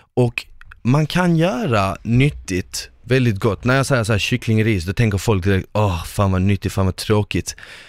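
In an ordinary speaking voice, a man speaks at a fairly slow pace with ordinary pitch variation, captured as a very clean recording with a silent background and a dry, close sound with no echo. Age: 20s. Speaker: podcast host, former reality TV contestant. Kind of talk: casual chat.

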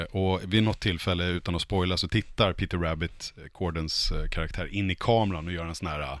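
Here a man speaks with a very deep, low pitch. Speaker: podcast panelist. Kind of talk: casual chat.

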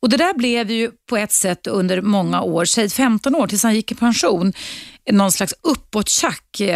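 A woman with an unremarkable speaking voice and a fairly high pitch speaks at a fairly slow pace and very even loudness, with ordinary pitch variation and a dry, close sound with no echo. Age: 50s. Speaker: radio host. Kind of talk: call-in talk show. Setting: studio.

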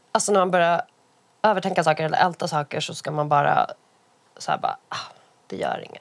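A woman at a moderate pace. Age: 30s. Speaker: columnist and podcaster. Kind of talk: casual chat.

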